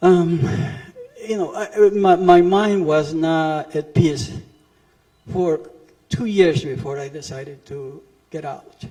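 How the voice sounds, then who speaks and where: A man with a Spanish accent speaks very slowly at a fairly high pitch, leaving long, frequent pauses. His pitch varies in an ordinary way while his loudness swings widely. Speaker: refugee witness. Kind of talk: testimony. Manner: halting.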